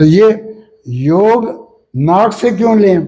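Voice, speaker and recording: A dark, mellow tone marks this voice. It belongs to a man. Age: 80s+. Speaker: yoga teacher. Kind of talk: interview.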